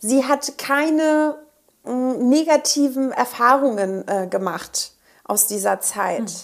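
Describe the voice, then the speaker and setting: A woman's high-pitched voice moves very slowly, with lively intonation. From northern Germany. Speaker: pharmaceutical field representative. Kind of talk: interview. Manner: hesitant, many filler sounds.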